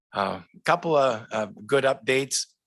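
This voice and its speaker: Over a quiet background, a man's pitch varies in an ordinary way. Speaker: wireless company representative. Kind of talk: public presentation. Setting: televised board meeting. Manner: loud.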